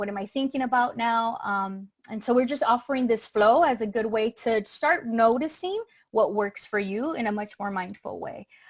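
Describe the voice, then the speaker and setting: A woman speaks at a fairly high pitch, her pitch moving in an ordinary way. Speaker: wellness session facilitator. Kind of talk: workshop facilitation with guided breathing. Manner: fast; hesitant, many fillers.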